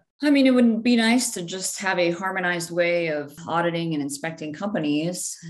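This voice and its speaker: A woman talks at a fairly quick pace in a fairly low pitch with lively intonation. The room echo is audible and background noise is noticeable. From Brazil. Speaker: medical device solutions engineer. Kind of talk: interview.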